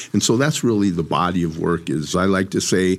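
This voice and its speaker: A man with an American accent speaks at a moderate pace in a very deep, low voice, recorded very cleanly against a silent background. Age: old. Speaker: community organizer and urban farming activist. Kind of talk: interview conversation. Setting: recorded in Minneapolis.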